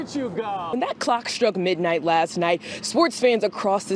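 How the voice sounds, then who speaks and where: Over noticeable background noise, a woman speaks with an American accent. Her intonation is lively and her pace moderate. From Cleveland, Ohio. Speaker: TV news reporter and host. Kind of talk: TV news reporting and live shots.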